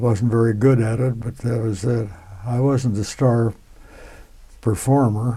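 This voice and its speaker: At a fairly slow pace, a man speaks in a dark, mellow, somewhat breathy tone. His medium-pitched voice stays monotone and flat. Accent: US Midwestern. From Nebraska, US Midwest. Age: 90s. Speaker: World War II civilian worker veteran. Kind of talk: oral history interview. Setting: museum.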